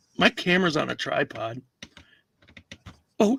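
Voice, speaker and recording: A man with a Wisconsin accent speaks in a dry, close sound with no echo. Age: middle-aged. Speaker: comedy podcast co-host and reseller. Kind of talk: casual chat. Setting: livestream. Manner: animated.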